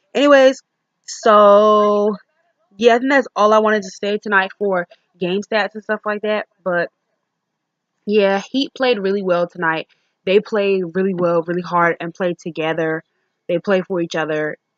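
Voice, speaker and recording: Pausing long and often, a woman speaks at a medium pitch with ordinary pitch variation, the sound dry and close with no echo. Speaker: sports vlogger. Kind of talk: casual game review monologue. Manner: fast.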